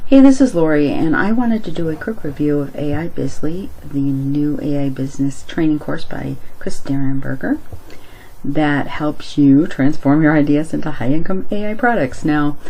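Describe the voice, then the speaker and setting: Audible room echo and noticeable background noise surround this recording. A woman with a very deep, low pitch talks at a moderate pace with ordinary pitch variation. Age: 60s. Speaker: product reviewer. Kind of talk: screen-share product review. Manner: casual, conversational.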